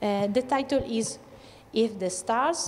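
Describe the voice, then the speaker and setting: An Italian accent with ordinary pitch variation. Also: woman. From Italy, Verona. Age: 30s. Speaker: author. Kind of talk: school workshop Q&A. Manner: halting.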